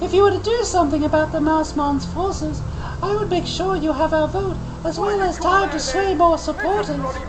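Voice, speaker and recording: Amid loud background noise, a put-on character voice squeaks along at a high pitch and a moderate pace. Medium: game stream. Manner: hesitant, stumbling reading.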